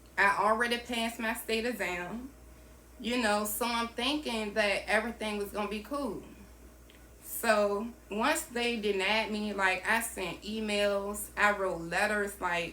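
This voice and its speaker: A woman with a Southern US accent and fairly high pitch speaks at a fairly slow pace with audible room echo. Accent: Southern US country. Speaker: entrepreneur and vlogger. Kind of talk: personal storytelling vlog. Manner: casual, conversational with fillers.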